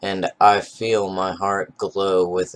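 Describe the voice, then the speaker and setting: A man's voice, pitched very deep and low. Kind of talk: novel reading. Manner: monotone.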